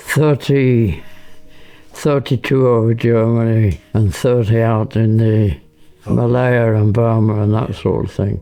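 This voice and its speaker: Music plays in the background. A man talks at a very slow pace in a medium pitch. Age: 80s+. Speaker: war veteran, former RAF bomber pilot. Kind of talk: interview answer.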